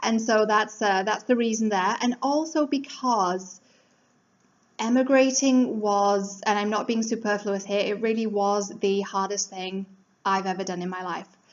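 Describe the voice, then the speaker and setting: A woman with an English accent speaks at a fairly slow pace. Her pitch is fairly high, with ordinary pitch variation. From England. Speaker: life coach. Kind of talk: motivational talk. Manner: casual, conversational.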